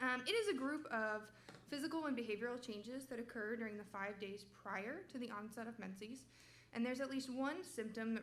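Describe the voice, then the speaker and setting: With audible room echo behind her, a woman talks at a fairly quick pace, her fairly high pitch showing ordinary variation. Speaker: medical resident presenting research. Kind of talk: research presentation. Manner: loud.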